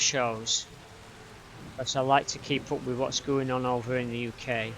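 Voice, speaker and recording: At a moderate pace, a man with a Yorkshire accent talks at a medium pitch in a flat monotone. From Yorkshire, northern England. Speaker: gaming streamer. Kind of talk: casual live stream chat. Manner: halting, with fillers and repeats.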